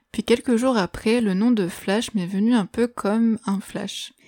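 A woman's dark, mellow voice at a fairly slow pace, fairly even intonation, dry and close with no echo. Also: very clean recording, silent background. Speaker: music podcast host. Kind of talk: scripted solo podcast narration. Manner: radio-presenter style phrasing.

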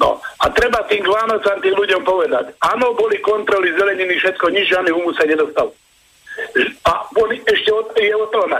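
A man talks at a fairly quick pace in a high pitch, with ordinary pitch variation and very even loudness. Noticeable background noise is present. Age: 60s. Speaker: caller. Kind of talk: phone-in. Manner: animated.

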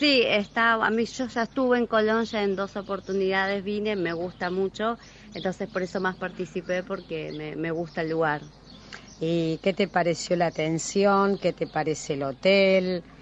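A woman talks in a Rioplatense accent. Her voice is medium in pitch. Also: ordinary pitch variation, moderate pace. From Buenos Aires, Argentina. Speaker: tourist, contest winner. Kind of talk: on-location interview.

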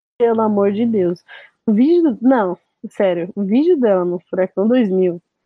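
A woman's normal speaking voice with lively intonation. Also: medium pitch for a woman, fairly slow pace. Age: 20s. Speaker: DJ and music producer. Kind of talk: casual chat.

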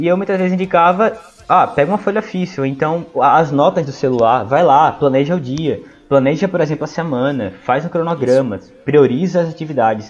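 Using a normal speaking voice, a man talks at a fairly quick pace with lively intonation and a fairly high pitch. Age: 20s. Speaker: history student and study mentor. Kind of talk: casual educational talk.

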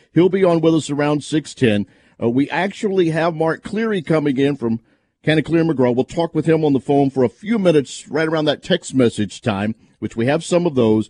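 A man's fairly high-pitched voice with a dark, mellow tone and an upbeat tone, lively intonation and a fairly quick pace, in a dry, close sound with no echo and a quiet background. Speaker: radio host. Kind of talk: radio sports talk show. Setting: studio. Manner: upbeat radio banter, quick and conversational.

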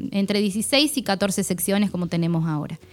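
In a very clean recording with a silent background, a woman's voice is heard. Her pitch is medium and varies in an ordinary way. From Argentina, Buenos Aires province countryside near Tandil. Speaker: technical school administrator and teacher. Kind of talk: radio interview. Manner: halting, with frequent fillers and repetitions.

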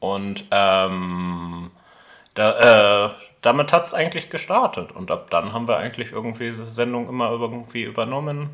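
A man with a medium-pitched, bright, sharp voice talks at a moderate pace with lively intonation in a very clean recording with a silent background. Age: 20s. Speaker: university student and campus radio member. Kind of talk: casual interview. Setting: studio.

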